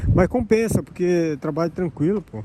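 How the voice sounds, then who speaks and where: Noticeable background noise fills the recording. Over it, a man's speech moves at a fairly quick pace. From Brazil. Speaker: elderly caregiver vlogger. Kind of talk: casual vlog monologue.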